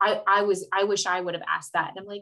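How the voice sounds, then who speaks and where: Loud and with a bright, sharp tone, a woman speaks at a medium pitch. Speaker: nurse association representative. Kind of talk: interview conversation.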